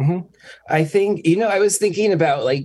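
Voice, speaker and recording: Ordinary pitch variation in a man's somewhat breathy voice. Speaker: DJ. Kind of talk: casual chat. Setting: video call.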